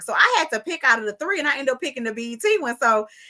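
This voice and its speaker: A woman's bright, sharp, animated voice at a fairly high pitch, with very wide pitch swings and a very fast pace. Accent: strong Southern US. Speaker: interviewer. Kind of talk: casual chat.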